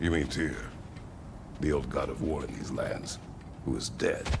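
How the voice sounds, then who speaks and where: A man puts on a character voice at a moderate pace while loud noise fills the background. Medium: video game. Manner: terse, grave.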